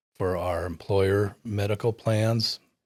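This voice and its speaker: A man talks in an ordinary speaking voice with fairly low pitch and fairly even intonation. The recording is very clean and dry, close with no echo, over a silent background. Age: 60s. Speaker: client of a retirement planner. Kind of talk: testimonial interview.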